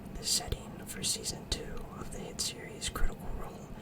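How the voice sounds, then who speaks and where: Behind this fairly slow whispering there is noticeable background noise. The words are whispered throughout. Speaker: ASMR creator, tabletop game master. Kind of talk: reading book back cover aloud.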